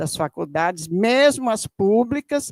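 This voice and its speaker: Recorded very cleanly against a silent background, this dry, close voice with no echo moves at a fairly slow pace through very wide pitch swings. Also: woman. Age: 70s. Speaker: audience member, retired educator. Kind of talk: audience comment at public debate. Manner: animated; halting.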